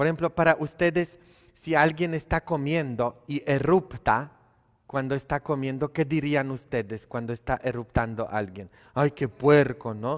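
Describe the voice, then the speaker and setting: Against a quiet background, a man with a Polish accent speaks fairly slowly in an animated tone, his fairly high pitch showing ordinary variation. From Poland. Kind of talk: sermon. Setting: church. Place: church.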